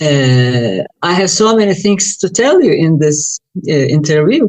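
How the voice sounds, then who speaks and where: With a Turkish accent, a woman speaks at a fairly slow pace with very wide pitch swings, in a dry, close sound with no echo. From Turkey. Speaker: UFO researcher and author. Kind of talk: interview.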